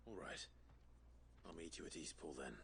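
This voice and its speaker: A man in a put-on character voice at a moderate pace, with clear background noise. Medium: video game. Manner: terse, calm.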